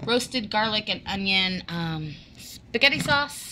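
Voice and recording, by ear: A woman speaks at a slow pace with lively intonation. Her tone is bright and sharp.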